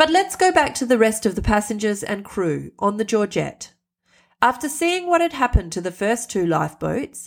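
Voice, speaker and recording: Talking at a moderate pace, a woman has a fairly high pitch and very wide pitch swings. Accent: Australian. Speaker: podcast host and storyteller. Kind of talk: storytelling narration.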